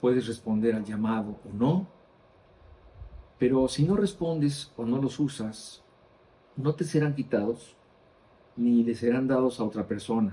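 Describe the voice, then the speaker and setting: Long, frequent pauses mark this man's speech. He talks at a fairly slow pace with ordinary pitch variation. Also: medium pitch for a man. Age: 60s. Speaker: Bible teacher. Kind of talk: Bible study teaching.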